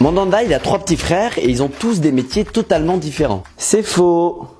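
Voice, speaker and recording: A man talks with lively intonation at a moderate pace while music plays in the background. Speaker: football content creator. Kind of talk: scripted commentary video, casual slang. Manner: casual, jokey.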